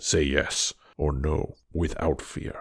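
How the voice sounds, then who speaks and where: A growling, gruff put-on character voice. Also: man. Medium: read story. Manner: gruff, gentle.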